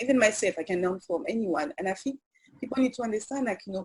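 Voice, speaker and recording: A woman speaks in a French accent. Her intonation is lively. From French Guiana. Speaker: journalist and media founder. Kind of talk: interview. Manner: hesitant, many fillers.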